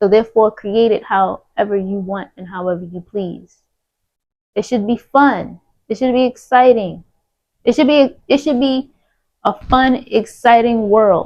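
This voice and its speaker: A woman's normal speaking voice, fairly high, at a fairly slow pace, with big swings in loudness. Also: ordinary pitch variation. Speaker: spiritual content creator. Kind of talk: spiritual monologue.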